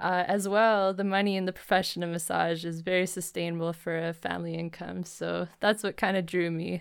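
With a Western Canadian accent and monotone, flat intonation, the voice moves at a fairly quick pace with hardly any pauses, in a very clean recording with a silent background. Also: woman, fairly low pitch for a woman. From Alberta, Canada. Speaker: massage therapist. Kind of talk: casual interview.

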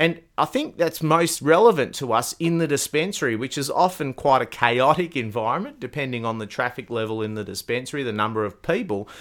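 Lively intonation from a man with an Australian accent, medium in pitch and fairly quick in pace, on a very clean recording with a silent background. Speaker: podcast host. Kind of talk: podcast interview.

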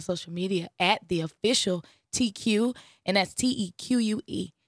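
A woman's medium-pitched voice at a moderate pace with ordinary pitch variation, on a very clean, silent-background recording with a dry, close sound and no echo. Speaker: singer. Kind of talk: interview. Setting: radio studio.

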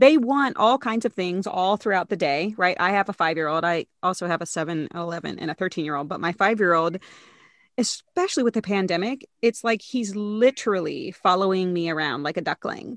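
A woman with a normal speaking voice talks at a fairly quick pace and medium pitch with lively intonation, the sound dry and close with no echo over a quiet background. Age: 40s. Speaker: psychologist and professor. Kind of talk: casual chat.

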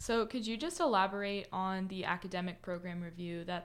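Fairly low in pitch, a woman with an ordinary speaking voice talks at a fairly quick pace. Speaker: student panelist. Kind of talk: casual panel discussion.

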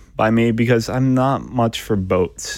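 Pitched at a medium level, the man's voice shows ordinary pitch variation. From US, moved around; born in Michigan. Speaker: freelance writer and communications consultant. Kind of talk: interview.

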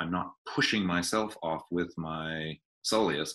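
An American accent on a man with very deep, low pitch, a bright, sharp tone and ordinary pitch variation, quiet background. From US Northeast (Maine). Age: 60s. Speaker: author and bodywork educator. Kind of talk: interview. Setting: video call.

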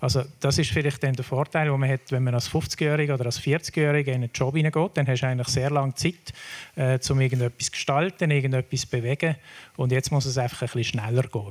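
A man talks at a fairly quick pace in a medium, somewhat breathy voice. His intonation stays fairly even. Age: 60s. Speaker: foundation board chair. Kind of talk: panel discussion.

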